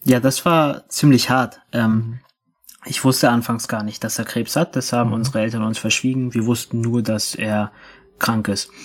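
A man's medium-pitched voice keeps a moderate pace and fairly even intonation. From Berlin, Germany. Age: 20s. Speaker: activist. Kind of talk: interview. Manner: halting.

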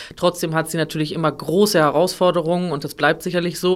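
A woman has an unremarkable speaking voice. Her pitch is fairly low and her intonation fairly even. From northern Germany, near Hamburg. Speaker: opera singer. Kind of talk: interview.

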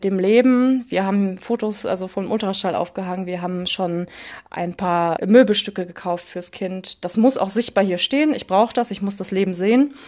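Her pace is moderate and her pitch variation ordinary. The woman has an ordinary speaking voice at a medium pitch. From Ruhr area, Germany. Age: 20s. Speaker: daughter of a parent with hereditary Alzheimer's. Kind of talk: personal interview. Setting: at home in living room, remote.

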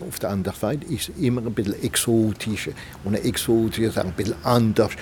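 Fairly low male speech, ordinary pitch variation, noticeable background noise around it. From Alsace, France. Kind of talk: interview.

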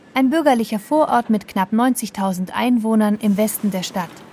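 With noticeable background noise, a woman talks at a moderate pace in a fairly high pitch. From southwest Germany, Schwäbisch Hall. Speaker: radio reporter. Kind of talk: scripted narration.

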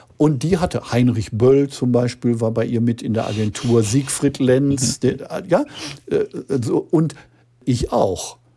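This man speaks at a very slow pace and medium pitch, somewhat breathy, with a dark, mellow tone and ordinary pitch variation. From Ruhr area, Gelsenkirchen. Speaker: crime novelist. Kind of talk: interview.

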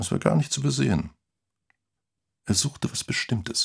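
A man uses a put-on character voice at a medium pitch, husky and rough with vocal fry. He talks at a fairly slow pace with ordinary pitch variation.

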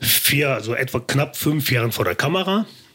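A man talks with lively intonation. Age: 50s. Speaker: formerly homeless man turned on-camera personality. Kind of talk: casual interview.

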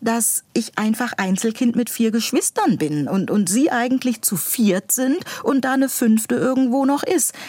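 Her voice is fairly high, with lively intonation, and she is a woman with an unremarkable speaking voice. She speaks at a fairly slow pace. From northern Germany (Buxtehude near Hamburg). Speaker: school administrator and author. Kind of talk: interview.

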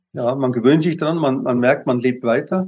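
With a dark, mellow tone, a man talks using ordinary pitch variation. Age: 70s. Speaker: retired teacher, constitutional complainant. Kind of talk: interview. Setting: video call.

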